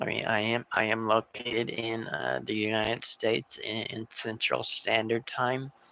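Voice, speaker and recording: A man speaks at a medium pitch and a moderate pace, with fairly even intonation and hardly any pauses. Noticeable background noise runs underneath. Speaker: tarot reader livestreamer. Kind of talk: live stream chat. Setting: live stream. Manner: halting, many fillers and repetitions.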